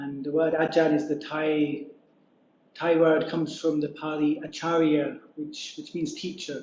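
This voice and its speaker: A man in a British accent, fairly high-pitched, fairly slow, with monotone, flat intonation. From Scotland. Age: 40s. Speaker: Buddhist monk. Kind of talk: dharma talk. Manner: halting.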